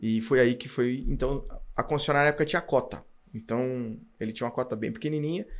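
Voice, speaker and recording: This man's voice is medium in pitch and shows ordinary pitch variation. He speaks very fast. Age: 40s. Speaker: car dealership owner and auto industry executive. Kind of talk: casual interview chat.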